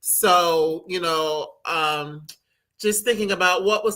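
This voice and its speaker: With an American accent, a woman talks in a fairly even intonation. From Cleveland, Ohio, US Midwest. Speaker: book club host. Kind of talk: interview.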